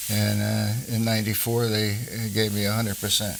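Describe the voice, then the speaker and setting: A man's fairly low, monotone voice with flat intonation and an American accent, at a fairly quick pace amid noticeable background noise. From New Jersey. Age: 90s. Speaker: war veteran. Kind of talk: oral history interview. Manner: halting, with many fillers.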